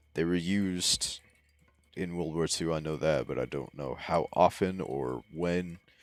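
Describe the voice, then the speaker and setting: Over music in the background, a man speaks with a very deep, low pitch. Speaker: gaming YouTuber. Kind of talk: gameplay commentary.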